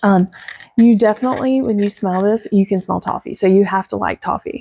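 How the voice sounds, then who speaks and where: Quiet and dark, a woman's mellow voice moves at a fairly quick pace with a medium pitch. Her intonation is fairly even, and the sound is dry and close with no echo. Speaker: fragrance product reviewer. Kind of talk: casual product review vlog. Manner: trying to speak quietly.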